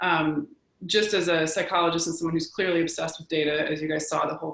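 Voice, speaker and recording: Speaking at a fairly quick pace, a woman with an American accent has a fairly low pitch and a monotone, flat intonation. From Washington State, Tacoma. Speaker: psychologist. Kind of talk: webinar presentation. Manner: fast.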